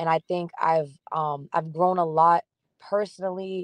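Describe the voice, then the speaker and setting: A woman's fairly low, monotone voice with flat intonation, the sound dry and close with no echo over a quiet background. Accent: American. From Massachusetts North Shore, Peabody. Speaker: singer-songwriter. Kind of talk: podcast interview. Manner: casual, filler-heavy.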